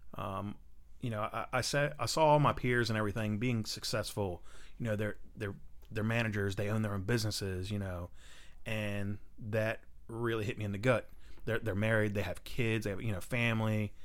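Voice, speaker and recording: Using an unremarkable speaking voice, a man talks at a fairly quick pace in a fairly low pitch with fairly even intonation. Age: 30s. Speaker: amateur race car driver. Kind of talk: casual chat.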